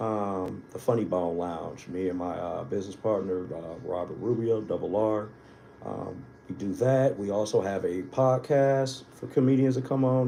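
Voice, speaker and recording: Audible room echo surrounds a man with an American accent who speaks in a fairly low voice with lively intonation. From Wisconsin, US Midwest (Milwaukee). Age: 40s. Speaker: comedian. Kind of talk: casual chat.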